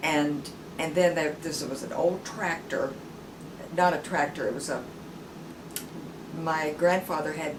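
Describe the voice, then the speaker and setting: A woman speaks at a fairly slow pace with a fairly low pitch and ordinary pitch variation, leaving long, frequent pauses amid audible room echo and noticeable background noise. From US South, rural Tennessee. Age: 70s. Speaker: interviewee. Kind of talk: oral history interview. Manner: halting, many fillers and repeats.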